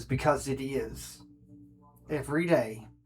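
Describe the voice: A man's growling, put-on character voice at a medium pitch and a fairly slow pace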